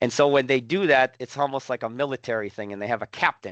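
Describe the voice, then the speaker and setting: Over a quiet background, a man talks with ordinary pitch variation in a dry, close sound with no echo. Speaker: professor. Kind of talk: lecture. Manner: loud; animated.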